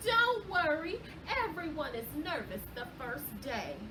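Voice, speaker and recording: A woman's put-on character voice, high in pitch and at a fairly slow pace, over loud background noise. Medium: read story. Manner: gushing, brisk.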